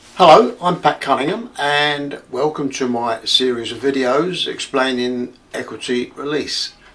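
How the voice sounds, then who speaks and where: A man with an Essex accent talks at a fairly slow pace with hardly any pauses and ordinary pitch variation. Noticeable background noise runs under the recording. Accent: southern English (Essex). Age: 70s. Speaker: retired equity release adviser explaining finance. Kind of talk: casual explainer video monologue. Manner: hesitant, many fillers.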